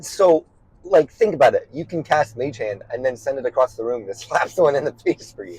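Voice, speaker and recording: A man with a fairly high pitch talks at a fairly quick pace, his voice somewhat breathy. His loudness swings widely, and the sound is dry and close with no echo. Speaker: podcast co-host. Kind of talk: casual chat. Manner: quiet.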